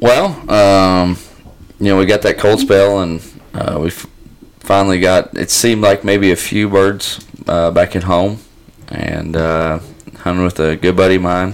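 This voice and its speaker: A man with a very deep, low voice and a Southern US accent, fairly slow, with long, frequent pauses over noticeable background noise. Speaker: duck hunter, podcast regular. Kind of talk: casual chat.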